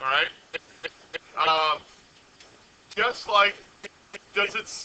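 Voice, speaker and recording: A loud man speaks at a fairly slow pace with lively intonation. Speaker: high school physics teacher. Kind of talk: classroom lecture. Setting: classroom with students.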